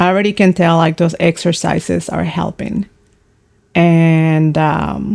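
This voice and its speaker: A woman speaks at a fairly slow pace with a fairly low pitch. Her intonation is monotone and flat. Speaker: art teacher. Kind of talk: tutorial. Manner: halting.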